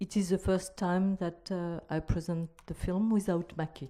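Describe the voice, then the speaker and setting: A woman with a non-native accent talks with fairly even intonation. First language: not English. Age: young. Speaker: filmmaker. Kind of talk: panel discussion. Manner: halting.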